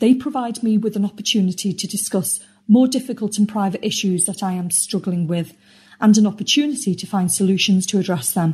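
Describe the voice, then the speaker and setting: Speaking at a fairly quick pace with a British accent, a woman has a medium-pitched, dark, mellow tone that is somewhat breathy. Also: ordinary pitch variation. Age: 50s. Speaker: podcast community member. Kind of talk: testimony. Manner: scripted reading.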